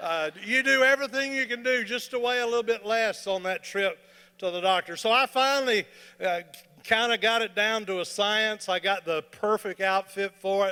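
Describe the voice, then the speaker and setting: A raised, projected voice at a moderate pace with ordinary pitch variation. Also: man, high pitch for a man. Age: 60s. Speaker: comedian. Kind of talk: stand-up. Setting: stage with audience. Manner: animated.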